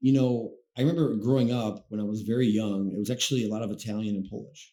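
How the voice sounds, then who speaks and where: In a Chicago-area accent, the voice has a dark, mellow tone and moves at a very fast pace. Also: man, fairly low pitch for a man, ordinary pitch variation. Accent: Chicago-area American English. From Chicago area, Illinois (Blue Island). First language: Spanish. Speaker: branch manager. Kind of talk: casual chat. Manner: halting.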